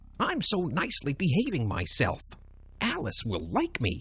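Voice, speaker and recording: A man does a squeaky, put-on character voice at a moderate pace. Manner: silly, pompous.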